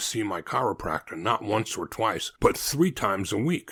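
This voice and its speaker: At a moderate pace, a man with an unremarkable speaking voice talks in a lively intonation on a very clean recording with a silent background. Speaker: podcast host. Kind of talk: podcast host intro and sponsor read.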